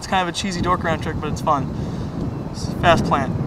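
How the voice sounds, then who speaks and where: Noticeable noise fills the background, and the room gives an audible echo. Through it, a man talks very rapidly. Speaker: skateboarder. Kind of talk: tutorial. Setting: outdoors. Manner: casual; fast.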